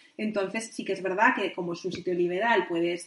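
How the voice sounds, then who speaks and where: A woman speaks at a medium pitch. There is noticeable background noise. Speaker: midwife and sexologist. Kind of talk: interview. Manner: fast.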